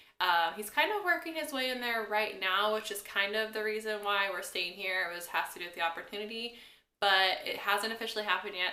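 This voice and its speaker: A woman with an American accent speaks at a fairly quick pace in a medium pitch, her pitch varying in an ordinary way, with audible room echo. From US Midwest, Kansas. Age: 20s. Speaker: vlogger. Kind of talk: Q&A vlog, casual chat.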